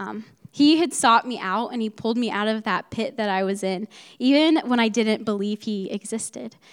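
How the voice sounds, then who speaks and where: A woman with an American accent speaks in a fairly high pitch at a moderate pace. The recording is very clean, with a silent background. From US Midwest, Ohio. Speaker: college student. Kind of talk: testimony.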